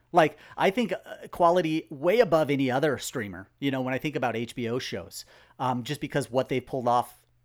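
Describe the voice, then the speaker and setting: A man speaks with a fairly high pitch at a fairly quick pace. He has an ordinary speaking voice. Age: 40s. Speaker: box office analyst. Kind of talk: casual chat.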